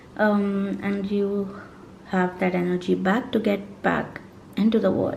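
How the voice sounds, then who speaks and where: The speech is very slow and monotone, with flat intonation and audible room echo. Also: woman, medium pitch for a woman. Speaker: tarot reader. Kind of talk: tarot reading monologue.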